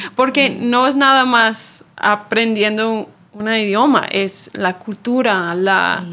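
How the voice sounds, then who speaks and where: A woman with an English accent speaks very slowly in a fairly high, bright, sharp voice, with ordinary pitch variation and hardly any pauses. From Chicago, US. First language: English (speaking Spanish). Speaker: church ministry worker. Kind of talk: casual chat.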